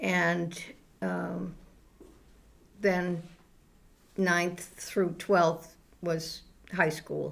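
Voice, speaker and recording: A woman with a New England accent speaks at a fairly low pitch, her voice showing vocal fry. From Townsend, Massachusetts. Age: old. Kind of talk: interview answer.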